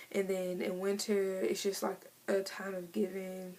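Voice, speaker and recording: Over noticeable background noise, a woman speaks at medium pitch with an American accent. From Missouri. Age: 20s. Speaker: beauty vlogger. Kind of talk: casual vlog monologue. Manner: fast.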